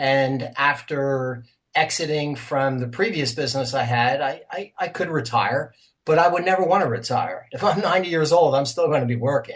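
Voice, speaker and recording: Somewhat breathy, a man with a fairly high pitch talks at a moderate pace with ordinary pitch variation. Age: 50s. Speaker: retired business owner turned cartoonist and blogger. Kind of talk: interview.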